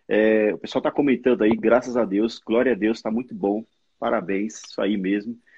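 A man's medium-pitched delivery at a moderate pace, fairly even in intonation, an unremarkable speaking voice. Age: 40s. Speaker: former pastor. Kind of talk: casual chat.

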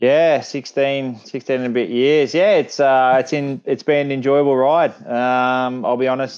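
Speaking with an Australian accent, a man keeps a medium pitch, fairly even intonation and a fairly slow pace with hardly any pauses. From Newcastle, Australia. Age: 30s. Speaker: retired professional footballer. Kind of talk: interview.

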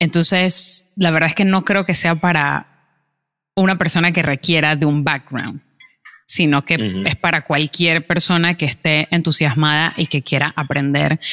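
A woman with a very deep, low pitch and a bright, sharp tone speaks at a fairly slow pace with ordinary pitch variation and very even loudness, in a very clean recording with a silent background and a dry, close sound with no echo. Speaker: podcast co-host, barista. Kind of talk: casual chat. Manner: calm, subdued.

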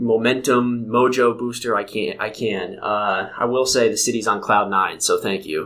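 A man speaks in an ordinary speaking voice at a moderate pace and medium pitch, with fairly even intonation and hardly any pauses. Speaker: podcast host. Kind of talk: casual interview chat.

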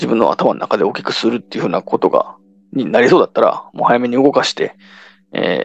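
The man talks at a fairly quick pace. His voice sounds dry and close, without echo. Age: 30s. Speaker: solo podcaster. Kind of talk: casual monologue. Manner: halting, many fillers.

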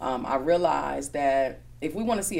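Her voice is very deep and low for a woman, with vocal fry and fairly even intonation, and audible room echo surrounds it. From Milwaukee, Wisconsin. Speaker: magazine owner and entrepreneur. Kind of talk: interview conversation.

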